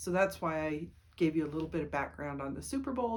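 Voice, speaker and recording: Room echo is audible as a woman talks at a fairly quick pace. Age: 60s. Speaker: writer and vlogger. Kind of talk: casual monologue vlog. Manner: rambling with fillers.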